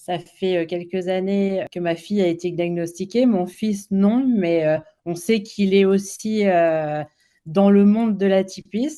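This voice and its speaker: At a very slow pace, a woman speaks at a medium pitch with a dark, mellow tone and ordinary pitch variation. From France. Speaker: children's author. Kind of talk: interview. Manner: hesitant, many fillers.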